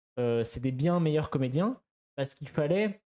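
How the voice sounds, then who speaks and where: A man's fairly high voice with lively intonation. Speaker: streamer. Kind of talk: casual chat. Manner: fast; halting.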